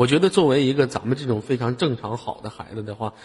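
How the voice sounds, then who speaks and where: Somewhat breathy, the voice moves along at a fairly quick pace. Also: man. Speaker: live voice-chat room host. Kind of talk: live call-in chat. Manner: animated.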